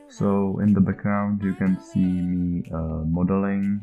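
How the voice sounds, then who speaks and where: Very slow speech over music in the background. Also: man. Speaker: indie game developer. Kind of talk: devlog narration over screen footage. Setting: low-quality home microphone. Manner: hesitant, many filler sounds.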